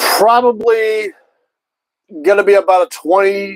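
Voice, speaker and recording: A man speaks loudly. The sound is dry and close, with no echo. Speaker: sports streamer. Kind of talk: live commentary. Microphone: mic cutting in and out.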